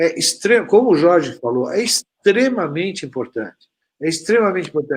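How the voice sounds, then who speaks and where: A man at a moderate pace with lively intonation. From Brazil. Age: 60s. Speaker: pharmaceutical industry representative. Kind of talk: panel discussion. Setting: online live stream. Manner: halting, many fillers.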